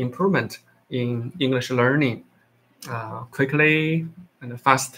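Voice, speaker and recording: With a Chinese accent, a man speaks at a very slow pace in a bright, sharp tone and a medium pitch, with ordinary pitch variation and long, frequent pauses. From China. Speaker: English learner livestreamer. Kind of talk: casual chat. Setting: livestream talking to AI app. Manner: halting, many fillers.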